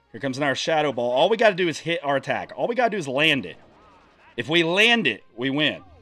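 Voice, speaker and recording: Over music in the background, a man talks at a very fast pace with a fairly high pitch and very wide pitch swings. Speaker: gaming commentator. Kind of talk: gameplay commentary. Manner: casual, thinking aloud with fillers; stuttering at times.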